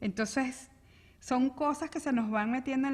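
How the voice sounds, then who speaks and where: A woman with a Venezuelan accent, somewhat breathy, against a quiet background. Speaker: interview show host. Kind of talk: interview conversation. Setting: video call.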